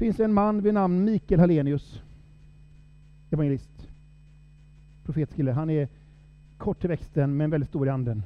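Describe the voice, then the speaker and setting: A man talks at a fairly high pitch with lively intonation. He keeps a moderate pace broken by long, frequent pauses. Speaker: preacher. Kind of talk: sermon.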